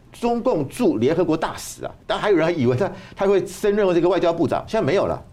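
A man's dark, mellow voice with vocal fry, at a fairly quick pace. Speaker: university professor and political commentator. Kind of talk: political talk show discussion. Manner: hesitant, with frequent fillers.

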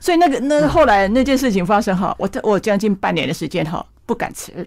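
With vocal fry and lively intonation, the speaker talks at a fairly quick pace on a very clean recording with a silent background. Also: woman. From Taiwan, Yunlin County. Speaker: botanical painter. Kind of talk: interview.

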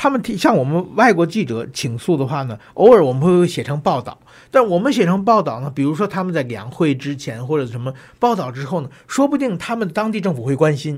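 Recorded very cleanly against a silent background, a man with a northern Chinese accent speaks at a high pitch with very wide pitch swings. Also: fairly quick pace. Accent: northern Mandarin. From China (Tianjin). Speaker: journalist and political commentator. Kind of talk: interview.

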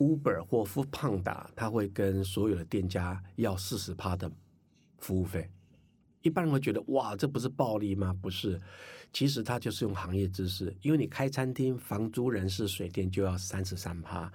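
The man's voice is fairly low in pitch and somewhat breathy. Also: ordinary pitch variation, moderate pace. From Taiwan, Hakka. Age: 50s. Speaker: entrepreneur and finance course teacher. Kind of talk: interview. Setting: studio.

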